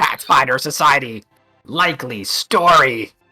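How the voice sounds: Faint music plays in the background as a man does a put-on character voice, raspy and medium-pitched, with lively intonation at a fairly slow pace.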